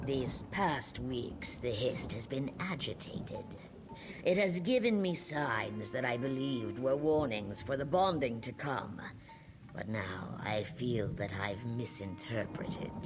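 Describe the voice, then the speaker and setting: Using a put-on character voice, a man speaks at a fairly slow pace and medium pitch over clear background noise. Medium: video game. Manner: measured, solemn.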